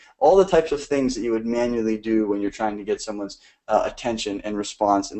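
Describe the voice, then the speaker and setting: This man talks at a fairly quick pace in a fairly low pitch. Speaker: growth marketing instructor. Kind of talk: online lecture. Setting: live stream. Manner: fast.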